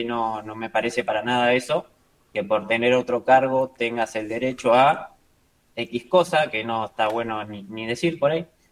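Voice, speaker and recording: An unremarkable speaking voice moves at a moderate pace with ordinary pitch variation and big swings in loudness. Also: man, medium pitch for a man. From Argentina. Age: 20s. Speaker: trader and trading mentor. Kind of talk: casual interview chat.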